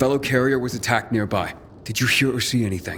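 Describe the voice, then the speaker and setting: In a put-on character voice, the speaker races along at a very fast pace with fairly even intonation over clear background noise. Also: man. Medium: video game.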